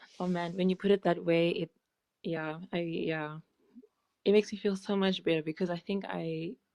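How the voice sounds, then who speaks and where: A woman with a slight South African accent speaks at a moderate pace with long, frequent pauses and fairly even intonation. Her voice is fairly low with a dark, mellow tone, dry and close with no echo. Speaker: former journalist. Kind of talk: live Q&A.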